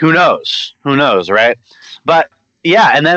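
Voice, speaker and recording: Lively intonation marks this man speaking with an American accent. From Louisiana, US South (Monroe). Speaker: actor and musician. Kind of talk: interview.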